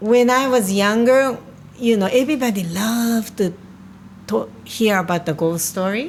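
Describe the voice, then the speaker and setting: Speaking with a Japanese accent, a woman keeps a moderate pace. Her voice sits fairly high, with ordinary pitch variation. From Japan, Tokyo. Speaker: spiritual healer. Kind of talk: casual chat. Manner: halting.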